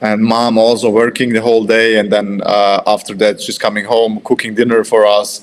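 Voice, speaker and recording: Over noticeable background noise, a man with a medium-pitched voice talks at a fairly quick pace with hardly any pauses and a monotone, flat intonation. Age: 30s. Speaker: professional athlete. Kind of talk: podcast interview. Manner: halting.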